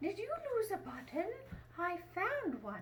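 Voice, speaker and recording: In a put-on character voice, a woman talks at a fairly slow pace with extremely high pitch and very wide pitch swings, over clear background noise. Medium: read story.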